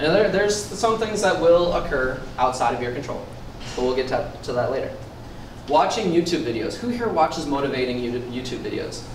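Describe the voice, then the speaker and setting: Amid noticeable background noise and audible room echo, a man with a fairly high pitch talks at a fairly quick pace with very wide pitch swings. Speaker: personal trainer giving a workshop. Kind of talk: motivational workshop talk. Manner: fast.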